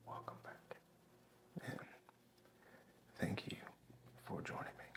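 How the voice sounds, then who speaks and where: Noticeable background noise fills the recording. A man whispers at a fairly slow pace. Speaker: ASMR creator. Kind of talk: ASMR relaxation talk to camera.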